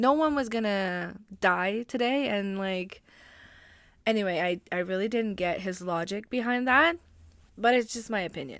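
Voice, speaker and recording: A woman with a French accent speaks at a medium pitch and a moderate pace, her intonation lively. The recording is very clean, with a silent background. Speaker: hockey podcaster. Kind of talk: casual podcast talk.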